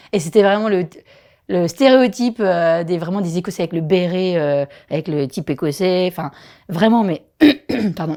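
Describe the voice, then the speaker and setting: A woman speaks with a strong Vosges accent. Her intonation is lively. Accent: strong regional Vosges. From Vosges, eastern France. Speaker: primary school teacher. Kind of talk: casual podcast interview.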